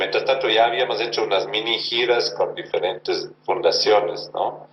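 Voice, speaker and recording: A man's voice over noticeable background noise. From Germany. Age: 60s. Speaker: actor and theatre director. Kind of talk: interview.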